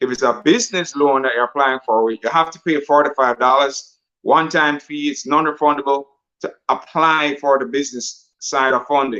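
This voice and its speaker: A man's fairly high voice has a bright, sharp tone. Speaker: financial coach. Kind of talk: sales pitch. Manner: fast.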